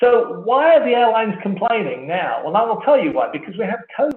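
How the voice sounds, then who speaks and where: A man speaks with an English accent. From England. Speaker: wireless industry analyst. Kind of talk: conference keynote presentation. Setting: online conference. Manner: conversational; fast.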